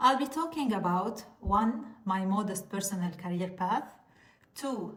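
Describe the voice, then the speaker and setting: Speaking at a fairly slow pace with a non-native accent, a woman of medium pitch is heard with audible room echo and noticeable background noise. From Lebanon. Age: 40s. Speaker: pharmacist and content creator. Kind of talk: informational talk to camera.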